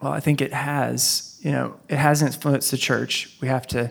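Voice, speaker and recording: Here a man with an American accent talks at a moderate pace. His medium pitch stays in a monotone, flat intonation. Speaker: pastor. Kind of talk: panel discussion.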